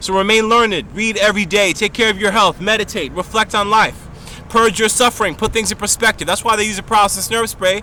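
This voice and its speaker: Over noticeable background noise, a man speaks at a very fast pace in a raised, projected voice, high-pitched and animated in tone. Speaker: video blogger. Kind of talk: monologue to camera.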